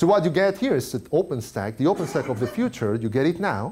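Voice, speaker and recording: At a fairly quick pace, a man with a non-native accent speaks in a dark, mellow tone with very wide pitch swings, on a very clean recording with a silent background. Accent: foreign. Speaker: tech industry speaker. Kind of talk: conference talk. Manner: halting, many fillers.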